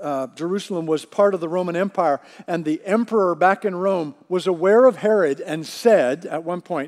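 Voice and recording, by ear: Reading aloud in a natural voice, the speaker lets pitch vary in an ordinary way.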